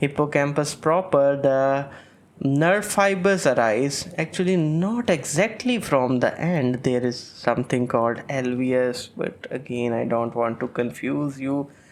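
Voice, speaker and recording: Here a man speaks at a very slow pace. His pitch is fairly high, and he has a non-native accent. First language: not English. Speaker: medical lecturer. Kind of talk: lecture. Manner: hesitant, with fillers.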